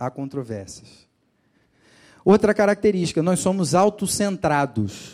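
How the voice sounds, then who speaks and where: On a very clean recording with a silent background, a man speaks at a fairly slow pace with a Rio de Janeiro accent. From Rio de Janeiro, Brazil. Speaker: pastor. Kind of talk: sermon.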